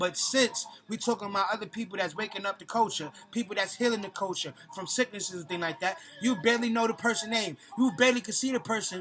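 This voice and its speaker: With music in the background, a man speaks at a very fast pace in a high pitch and an animated tone, using ordinary pitch variation. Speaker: conscious community vlogger. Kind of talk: vlog monologue.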